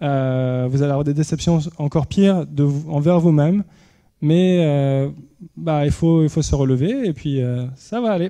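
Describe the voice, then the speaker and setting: With a dark, mellow tone, a man speaks at a fairly high pitch and a fairly slow pace, his pitch varying in an ordinary way. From Paris region, France. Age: 30s. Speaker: inventor and entrepreneur. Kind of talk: public lecture. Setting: university lecture hall with audience. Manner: hesitant, many fillers and repetitions.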